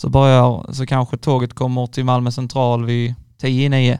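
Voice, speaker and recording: A man is speaking. His pitch is medium. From Skåne, village near Ängelholm. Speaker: university student. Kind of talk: casual chat. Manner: halting, repetitive starts.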